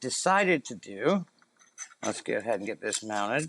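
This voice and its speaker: Music plays behind a man whose pitch swings very widely, the sound dry and close with no echo. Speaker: camera gear videographer. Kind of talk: casual tutorial talk to camera. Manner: casual, hesitant with fillers.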